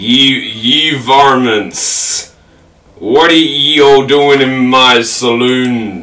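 In a put-on character voice, a man speaks very slowly at a medium pitch. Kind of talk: gruff, old-western. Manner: staying in character.

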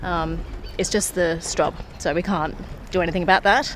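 Against clear background noise, a woman with a fairly low pitch talks at a moderate pace with fairly even intonation.

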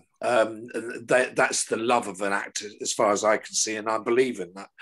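A man speaks with a British accent. The background is quiet. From England. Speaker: television director; guest. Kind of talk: casual chat. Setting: video call. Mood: reminiscent, warm. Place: home room. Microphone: video call.

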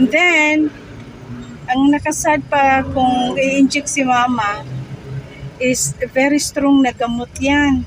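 Noticeable background noise runs behind a woman with a high pitch and fairly even intonation. She speaks at a very slow pace with long, frequent pauses, in a dry sound with no echo. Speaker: vlogger. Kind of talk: casual vlog chat. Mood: thankful, updating on mother's chemo. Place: car. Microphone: phone near.

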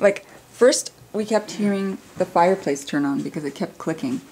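A woman speaks at a moderate pace with a fairly low pitch. Her tone is dark and mellow with a slightly husky edge. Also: ordinary pitch variation.

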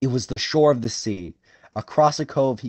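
A quiet background behind plain reading aloud with ordinary pitch variation

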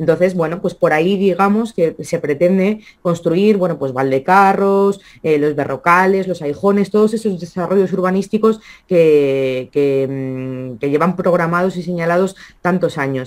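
A woman speaks at a fairly low pitch and a fairly slow pace. Her pitch variation is ordinary, and the background is quiet. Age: 30s. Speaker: regional politician. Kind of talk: interview. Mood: critical, earnest. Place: home room. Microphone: video call.

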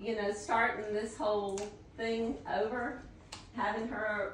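A woman's medium-pitched voice at a slow pace, with audible room echo

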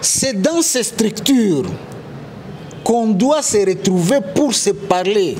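A man's high-pitched voice at a very slow pace, with lively intonation, very even loudness, long, frequent pauses, and light background noise. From DR Congo, North Kivu; DR Congo. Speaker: political party official; interviewee, political commentator. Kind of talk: interview. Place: home room.

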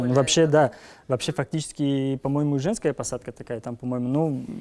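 A man's voice carries a dark, mellow tone. He keeps a moderate speed. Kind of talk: tutorial. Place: hall.

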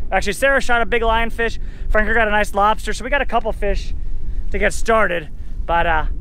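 A man speaks very fast in a raised, projected voice with a bright, sharp tone, fairly even intonation and very even loudness, recorded dry with no echo over light background noise. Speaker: boat captain vlogger. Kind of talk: casual vlog chat. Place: boat. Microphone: phone near.

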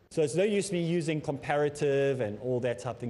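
A man's voice has a dark, mellow tone. His intonation is lively. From South Africa. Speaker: Islamic teacher. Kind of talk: lecture. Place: studio.

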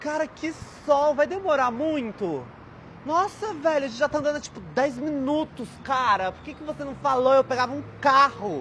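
A whiny, dramatic put-on character voice, high-pitched and whiny, at a moderate pace over clear background noise. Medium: comedy sketch. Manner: whiny, snobbish, dramatic.

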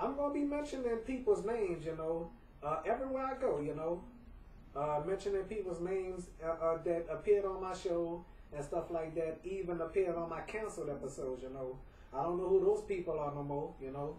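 With noticeable background noise behind him, a man speaks at a fairly quick pace, his high pitch carried by lively intonation. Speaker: home video vlogger. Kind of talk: casual monologue. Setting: at home.

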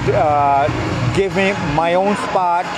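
A man is speaking. Loud background noise sits behind his voice. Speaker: street evangelist vlogger. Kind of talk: casual vlog chat. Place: street. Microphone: phone near.

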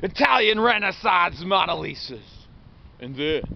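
The recording of a man sounds dry with no echo but carries noticeable background noise. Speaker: vlogger. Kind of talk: rambling storytelling monologue. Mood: playful, absurd. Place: open country. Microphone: phone near.

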